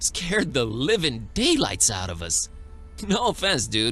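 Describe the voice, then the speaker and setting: A man performs a put-on character voice. Music can be heard clearly in the background. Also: moderate pace. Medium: video game. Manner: casual, slangy.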